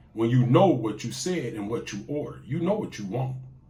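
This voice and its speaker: A man's vocal fry with very wide pitch swings, moderate pace and audible room echo. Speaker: YouTube talk show host. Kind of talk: casual monologue. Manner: animated.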